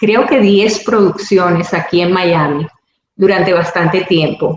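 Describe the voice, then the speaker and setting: A woman speaks at a very slow pace. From Venezuela.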